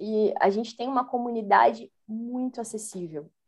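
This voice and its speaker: With a normal speaking voice, a woman talks at a moderate pace. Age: 30s. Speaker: Scrum Master, former education manager. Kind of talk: interview.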